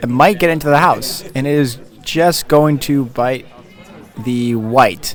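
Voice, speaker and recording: Quiet male voice at a medium pitch, ordinary pitch variation, with music in the background. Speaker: curling commentator. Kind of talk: live commentary. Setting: curling club. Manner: quiet, mellow.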